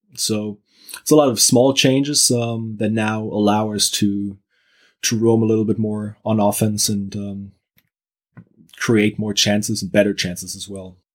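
A man's unremarkable speaking voice, fairly low in pitch, with fairly even intonation, in a very clean recording with a silent background. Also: fairly slow pace. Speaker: Werder Bremen fan and analyst. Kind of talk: casual interview.

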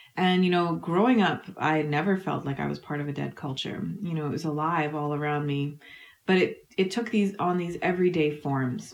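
A woman with a Canadian Prairie accent speaks at a moderate pace in a very deep, low voice. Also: ordinary pitch variation. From Canada, Manitoba. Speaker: historian. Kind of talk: interview.

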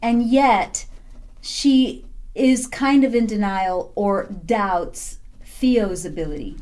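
A woman speaks at a very slow pace with a high pitch and lively intonation. Audible room echo surrounds her voice. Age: 40s. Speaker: podcast co-host. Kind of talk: casual chat.

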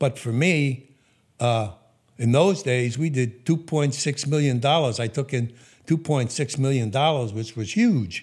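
On a very clean recording with a silent background, a man with an American accent speaks at a very slow pace, somewhat breathy, at medium pitch with ordinary pitch variation. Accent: slight remnant of Brooklyn. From New York, Brooklyn. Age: 80s+. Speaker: businessman. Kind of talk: interview storytelling. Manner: hesitant with fillers.

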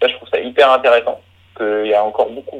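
A man speaking at a fairly quick pace. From Brittany, France. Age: 30s. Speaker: eco-adventurer. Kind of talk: interview.

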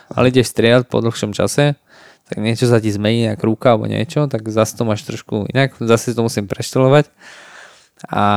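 A man's normal speaking voice, medium in pitch, with fairly even intonation at a fairly quick pace, in a dry, close sound with no echo. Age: 20s. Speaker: professional MMA fighter. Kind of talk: casual chat.

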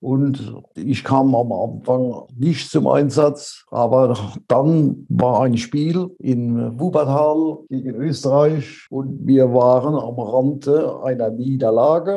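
A man talks at a very slow pace in a medium pitch. His tone is dark and mellow, and his intonation is fairly even. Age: 80s+. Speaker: former athlete and world champion. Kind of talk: interview about his life.

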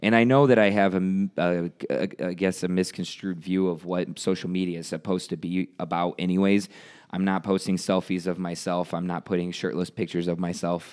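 Speaking at a fairly quick pace, a man with a very deep, low pitch keeps a fairly even intonation in a very clean recording with a silent background. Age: 30s. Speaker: podcast host and powerlifter. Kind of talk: casual chat.

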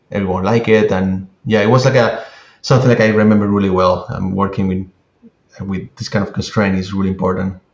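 The delivery comes at a fairly quick pace with fairly even intonation. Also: man, fairly low pitch for a man. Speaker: CGI artist. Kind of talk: casual interview conversation. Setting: video call from London. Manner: halting, searching for words.

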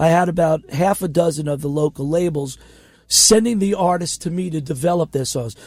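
A man's high voice with an American accent, a fairly quick pace and ordinary pitch variation. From Queens, New York. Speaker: indie record label founder and musician. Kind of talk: casual interview chat. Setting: radio studio.

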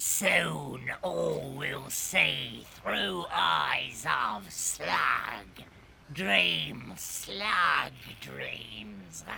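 A raspy male voice moves at a very slow pace. Background noise is clearly audible. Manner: eerie, halting broken speech.

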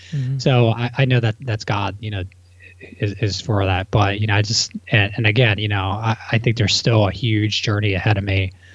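A somewhat breathy voice speaks at a moderate pace with fairly even intonation. The recording is very clean, with a silent background. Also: man, fairly low pitch for a man. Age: 30s. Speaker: real estate entrepreneur. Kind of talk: casual chat.

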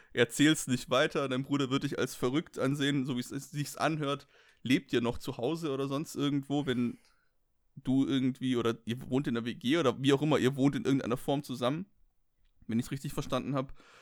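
A man's fairly high voice at a fairly quick pace, fairly even in intonation, on a very clean recording with a silent background. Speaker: comedy advice podcast co-host. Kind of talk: casual chat.

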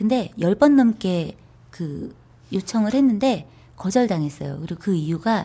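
The woman's voice sits at a medium pitch, somewhat breathy, with a dark, mellow tone. Her intonation is lively at a moderate pace, on a very clean recording with a silent background. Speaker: lawyer and author. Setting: studio.

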